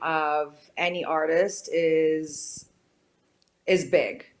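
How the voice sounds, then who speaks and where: A woman is speaking. She has a Romanian accent. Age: 30s. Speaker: painter. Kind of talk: interview. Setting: studio.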